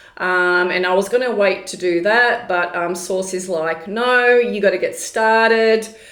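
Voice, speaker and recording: A woman speaks at a fairly slow pace, her pitch medium with ordinary variation. Room echo is audible. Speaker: spiritual channeler and tarot reader. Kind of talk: casual vlog monologue. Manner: hesitant, many fillers.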